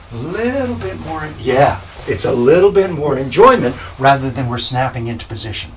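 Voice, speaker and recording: With noticeable background noise behind him, a man speaks at a moderate pace and medium pitch, showing very wide pitch swings and big swings in loudness. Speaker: Alexander Technique teacher. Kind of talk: instructional explanation.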